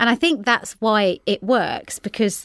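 A woman speaks in an ordinary speaking voice at medium pitch with ordinary pitch variation. The sound is dry and close with no echo, and the recording is very clean over a silent background. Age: 40s. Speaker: podcast guest, politician's wife. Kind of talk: interview. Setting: studio.

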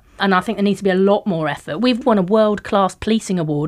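With a West Country accent, a woman speaks at a medium pitch with lively intonation over a very clean recording and a silent background. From Devon, Plymouth area. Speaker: police and crime commissioner. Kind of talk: interview conversation. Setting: studio.

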